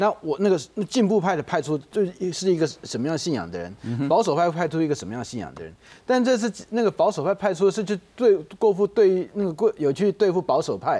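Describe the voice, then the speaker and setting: In a very clean recording with a silent background, a high-pitched man talks at a fairly quick pace with lively intonation. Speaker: think tank analyst. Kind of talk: political talk show. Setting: studio. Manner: halting, filler-heavy.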